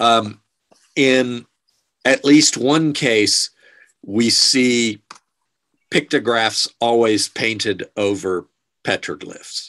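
Pausing long and often, a man speaks very slowly with ordinary pitch variation against a quiet background. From United States. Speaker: archaeologist; guest. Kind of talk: Q&A answers. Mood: calm, explanatory. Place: office. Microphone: video call.

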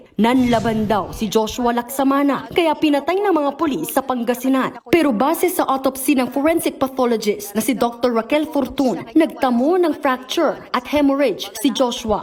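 Over noticeable background noise, a woman speaks at a high pitch and a moderate pace, with ordinary pitch variation. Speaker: news reporter. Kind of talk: news report. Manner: formal.

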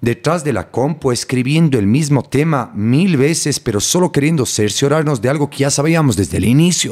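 In an ordinary speaking voice, a man talks at a fairly quick pace with ordinary pitch variation on a very clean recording with a silent background. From Ecuador, Cuenca. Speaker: neuroscientist. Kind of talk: interview.

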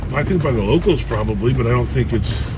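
A man speaks. Loud background noise runs behind him. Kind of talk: casual ride-along commentary. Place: car.

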